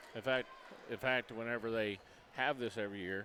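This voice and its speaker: The speaker is a man. His intonation stays fairly even. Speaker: high school basketball play-by-play announcer. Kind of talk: live sports commentary. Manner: loud.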